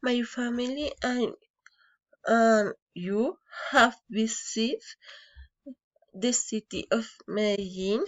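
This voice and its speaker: A woman's high voice with a Colombian accent and ordinary pitch variation, very slow, with long, frequent pauses. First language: Spanish. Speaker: engineering student. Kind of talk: prepared personal anecdote in a foreign language. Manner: halting, with hesitations and false starts.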